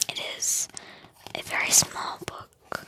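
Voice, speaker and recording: Whispering at a very slow pace. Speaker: ASMR reader. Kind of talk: casual talk to camera. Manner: soft-spoken.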